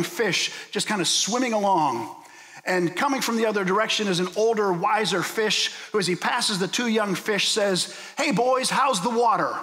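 A man with an American accent speaks fairly quickly at high pitch, with ordinary pitch variation, noticeable background noise and audible room echo. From US, Pittsburgh. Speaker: guest preacher. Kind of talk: sermon. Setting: church.

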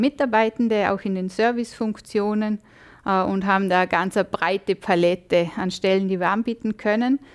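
The setting is quiet. A woman talks at a moderate pace, her pitch varying in an ordinary way. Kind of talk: interview answer. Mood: friendly, smiling. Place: studio.

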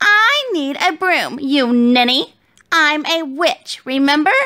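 A woman puts on a shrill, high-pitched character voice and speaks at a fairly slow pace. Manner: shrill, screeching, impatient.

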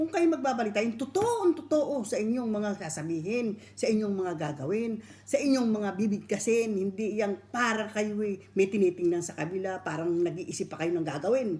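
Barely pausing, a woman talks with lively intonation in a dark, mellow, somewhat breathy tone. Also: medium pitch for a woman, moderate pace. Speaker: online video commentator ranting about news broadcasters. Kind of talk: angry rant scolding news presenters, sarcastic lecture. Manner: scolding, indignant, emphatic, repeating 'di ba?' for emphasis.

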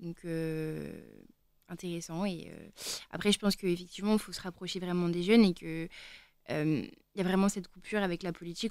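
A woman at a fairly quick pace, dry sound with no echo, quiet background. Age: young. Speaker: student; radio guest. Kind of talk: radio panel discussion. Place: studio. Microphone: studio mic.

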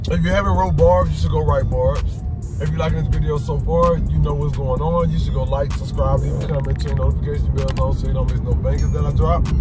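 Over loud background music, a man speaks at a very fast pace with ordinary pitch variation. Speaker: vlogger. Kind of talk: casual vlog chat. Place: car.

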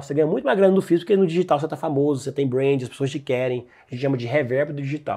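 The tone is dark and mellow, delivered at a very fast pace against a quiet background. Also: man. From Brazil, Goiás (Goiânia). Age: 20s. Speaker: digital marketing entrepreneur. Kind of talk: casual chat.

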